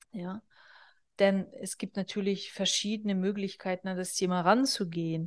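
With an unremarkable speaking voice, a woman of medium pitch talks at a moderate pace with fairly even intonation and big swings in loudness, the sound dry and close with no echo over a quiet background. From northern Kazakhstan. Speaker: business therapist and podcast host. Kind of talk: solo podcast monologue. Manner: casual, conversational with fillers.

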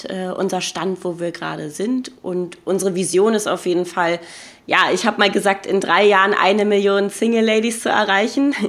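A woman's intonation stays fairly even, with noticeable background noise around her. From Berlin. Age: 20s. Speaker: podcaster. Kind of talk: casual chat.

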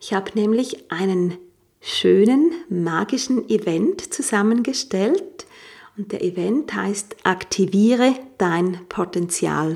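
A woman's medium-pitched voice, very slow, with lively intonation. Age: 40s. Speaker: life coach and yoga teacher. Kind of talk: podcast monologue; sales pitch.

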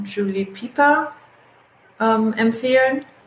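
A woman speaks over noticeable background noise. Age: 20s. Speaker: travel blogger. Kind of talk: interview.

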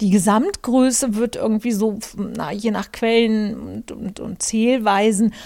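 A woman speaks very slowly at a fairly high pitch, her intonation monotone and flat. The recording is very clean, the background silent. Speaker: podcast host and journalist. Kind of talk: casual monologue. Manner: hesitant with many fillers.

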